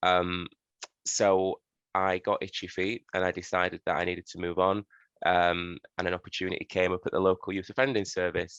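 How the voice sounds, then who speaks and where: Against a quiet background, a speaker with a Yorkshire accent talks at a moderate pace in a monotone, flat intonation, with a dry, close sound and no echo. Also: man, very deep, low pitch for a man. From northern England, Sheffield, Yorkshire. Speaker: social worker giving a talk. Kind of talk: presentation. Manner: hesitant, many fillers.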